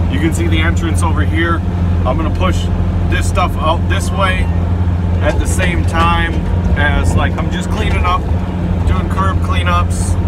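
Long, frequent pauses break up the speech, and the sound is dry with no echo over loud background noise. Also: man, fairly slow pace. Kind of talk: casual work narration. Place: car. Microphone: camera far.

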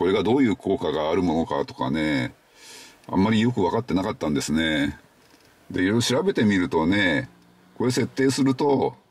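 The speaker uses a normal speaking voice. The pace is moderate. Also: man. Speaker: car owner vlogger. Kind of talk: casual explanatory vlog chat. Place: car. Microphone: phone near.

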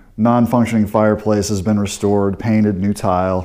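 A man with an American accent speaks at a fairly low pitch, his tone dark and mellow. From US Midwest, St. Louis. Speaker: real estate agent. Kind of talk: walking property tour narration, pointing out features room by room. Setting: walking through a house while filming. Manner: casual, conversational with frequent 'uh' and 'um' fillers. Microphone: phone near.

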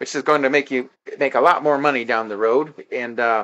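The speaker is a man with a fairly high pitch. His tone is bright and sharp. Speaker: social network promoter. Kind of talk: sales pitch. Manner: slurring words.

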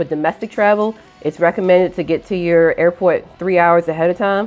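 Faint music plays in the background as the speaker talks at a fairly quick pace with ordinary pitch variation. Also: woman. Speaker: airline worker vlogger. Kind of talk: casual vlog chat. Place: home room. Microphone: lapel.

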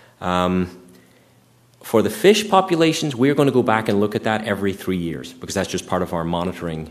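A man in a normal speaking voice talks at a fairly quick pace with a fairly low pitch and lively intonation. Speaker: environmental scientist giving a public talk; presenter. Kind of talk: public presentation with Q&A. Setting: meeting room with live audience. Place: hall.

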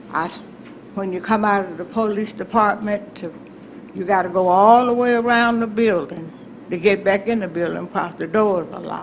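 Someone with an Alabama accent speaks at a moderate pace with fairly even intonation and big swings in loudness. Audible room echo and noticeable background noise fill the recording. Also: woman, medium pitch for a woman. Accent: Alabama Southern US. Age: 80s+. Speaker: resident addressing city council. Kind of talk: public comment at council meeting. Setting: city council chamber.

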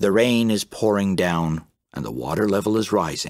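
A man speaks very slowly in a fairly low pitch with vocal fry. The sound is dry and close, with no echo. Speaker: professional voice actor narrating a graded children's reader. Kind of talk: children's English learning story narration. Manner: clear, expressive, engaging storytelling.

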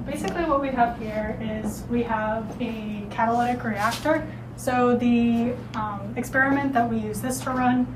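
At a moderate pace, a woman talks against noticeable background noise. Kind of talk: lab tour explanation. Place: classroom. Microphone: camera far.

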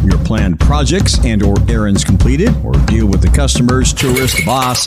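A man at a moderate pace, with loud music in the background. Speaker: radio morning show host. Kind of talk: radio aircheck, casual DJ patter. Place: studio.

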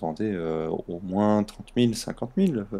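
At a fairly slow pace, a man speaks with lively intonation in a fairly low pitch. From southern France. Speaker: gaming stream co-host. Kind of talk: casual chat.

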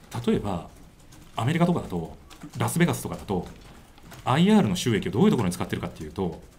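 Very wide pitch swings come at a very fast pace over light background noise. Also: man. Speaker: election candidate. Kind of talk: press conference answer. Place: meeting room. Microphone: handheld.

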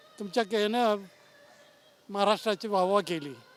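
High pitch from a man, with ordinary variation in the pitch. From western Maharashtra. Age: 70s. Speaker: retired pensioner, park visitor. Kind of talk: street interview. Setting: outdoors.

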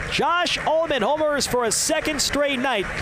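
A man at a fairly slow pace over loud background noise. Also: dry sound with no echo. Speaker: baseball play-by-play announcer. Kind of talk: live sports commentary, baseball play-by-play. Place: booth.

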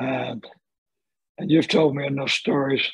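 Against a quiet background, a man speaks at a moderate pace. He has a Southern US accent. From Birmingham, Alabama. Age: 70s. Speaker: retired lawyer and mystic. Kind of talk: podcast conversation. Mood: calm, reflective. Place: home room. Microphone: video call.

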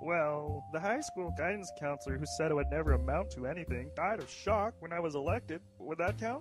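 A man talks at a fairly quick pace. Clear music can be heard in the background. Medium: comedy sketch. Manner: genteel, polite, slightly naive.

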